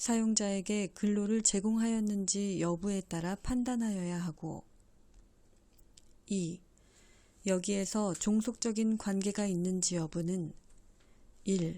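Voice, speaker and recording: Very slowly and with long, frequent pauses, a woman speaks at medium pitch in a dark, mellow tone with fairly even intonation. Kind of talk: legal text read-aloud.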